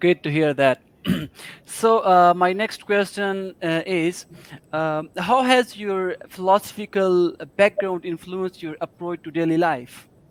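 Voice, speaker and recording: Speaking in a Pakistani accent, a man has a high pitch with ordinary pitch variation. He talks at a fairly slow pace, and the sound is dry and close with no echo. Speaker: podcast host. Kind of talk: interview.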